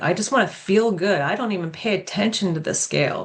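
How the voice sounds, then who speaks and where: Lively intonation runs through a woman's unremarkable speaking voice. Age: 60s. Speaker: fitness and nutrition coach, podcast co-host. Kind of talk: casual chat.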